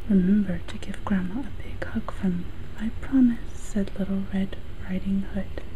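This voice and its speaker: A woman speaks at a medium pitch with fairly even intonation. Noticeable background noise sits behind her voice. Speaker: ASMR video creator. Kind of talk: bedtime story reading. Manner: soft whispered, slow.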